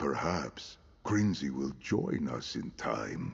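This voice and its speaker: A man puts on a character voice, very deep and low in pitch, speaking very slowly with lively intonation. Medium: video game. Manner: formal, archaic.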